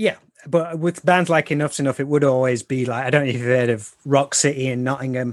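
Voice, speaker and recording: A man speaks at a fairly quick pace with an English Midlands accent. His pitch sits in the medium range and rises and falls in an ordinary way. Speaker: bass player and podcaster. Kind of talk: casual interview chat. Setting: video call across the Atlantic.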